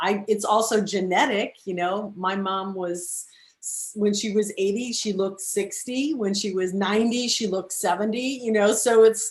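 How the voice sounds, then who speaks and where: With an unremarkable speaking voice, a woman talks at medium pitch and a moderate pace, her intonation fairly even and hardly any pauses in between. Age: 60s. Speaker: talk show host. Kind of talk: interview.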